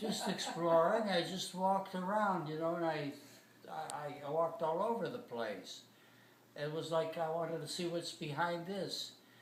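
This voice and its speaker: A man talks with a high-pitched voice. Noticeable background noise runs underneath. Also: ordinary pitch variation, moderate pace. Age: 80s+. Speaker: former ballpark concessions seller. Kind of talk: interview answer.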